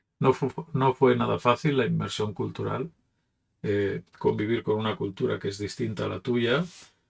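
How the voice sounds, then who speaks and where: A man with a Catalan accent talks at a moderate pace. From Catalonia, Barcelona. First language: Catalan (speaking Spanish). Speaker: pastor. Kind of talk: reflective talk. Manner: casual, with hesitations.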